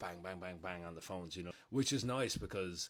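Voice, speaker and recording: This man talks at a fairly quick pace with an Irish accent. His pitch varies in an ordinary way. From Ireland. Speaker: content creator, reality TV alum. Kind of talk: casual vlog update. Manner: casual, filler-heavy.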